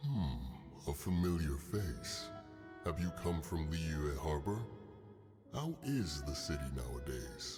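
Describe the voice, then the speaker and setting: A man's put-on character voice at a fairly slow pace, clear music in the background. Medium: video game. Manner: measured, dignified.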